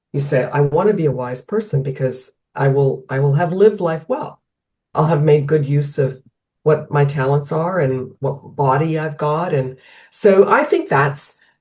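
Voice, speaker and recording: Somewhat breathy and very deep, a woman's low voice moves at a moderate pace with ordinary pitch variation. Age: 60s. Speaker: health coach. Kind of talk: podcast interview. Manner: halting, many restarts.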